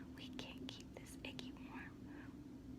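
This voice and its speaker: Someone whispers over noticeable background noise. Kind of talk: soft-spoken children's storybook reading. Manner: soft-spoken, caring.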